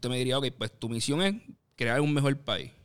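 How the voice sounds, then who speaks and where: A man talks in a plain, everyday voice at a medium pitch with ordinary pitch variation. The recording is very clean, with a silent background. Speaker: podcast co-host, columnist. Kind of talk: casual discussion.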